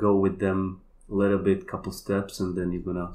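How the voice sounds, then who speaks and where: In a Polish accent, a man talks at a moderate pace with a very deep, low pitch. His intonation is monotone and flat. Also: quiet background. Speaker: kambo practitioner and healer. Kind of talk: casual chat.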